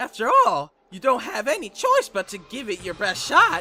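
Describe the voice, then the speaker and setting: Over faint background music, a man uses a strained, put-on character voice at a moderate pace. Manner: menacing, taunting.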